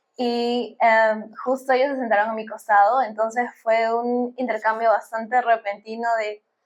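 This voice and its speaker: A woman speaks at a moderate pace in a fairly high pitch, her intonation monotone and flat. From Peru. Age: 20s. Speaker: bioengineering student. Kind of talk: podcast interview.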